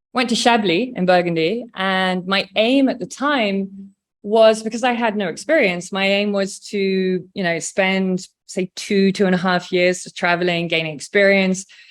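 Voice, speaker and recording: A woman with an English accent speaks at a moderate pace. Her medium pitch varies in an ordinary way, and the recording is very clean with a silent background. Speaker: wine producer. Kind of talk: casual interview chat.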